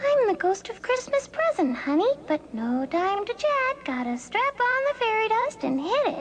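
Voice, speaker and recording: A cartoonish character voice, female-sounding and extremely high-pitched, with very wide pitch swings, a moderate pace, hardly any pauses and clear background noise. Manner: casual, chatty.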